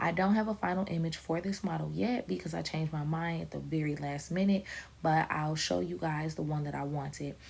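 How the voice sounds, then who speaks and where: This woman has a very deep, low voice, somewhat breathy, with lively intonation. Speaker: vlogger and aspiring model. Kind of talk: casual vlog. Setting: at home next to a sleeping baby. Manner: soft-spoken, talking low.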